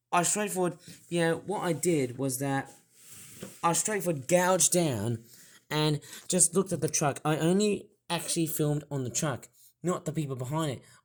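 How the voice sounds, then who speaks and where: A man talks with a fairly high pitch. The recording is very clean, the background silent. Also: ordinary pitch variation, moderate pace. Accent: Australian. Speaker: toy reviewer. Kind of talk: casual talk to camera, story of an incident.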